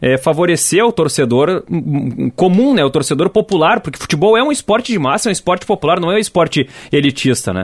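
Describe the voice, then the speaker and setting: Very fast and high-pitched, a man talks in an animated tone with lively intonation. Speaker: podcast host. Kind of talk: casual chat.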